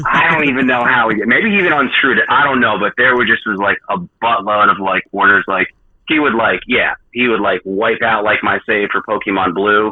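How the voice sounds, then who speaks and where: Using a New Jersey accent, a man speaks at medium pitch with ordinary pitch variation. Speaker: video game repair specialist. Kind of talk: podcast interview. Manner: fast; long-winded, filler-heavy.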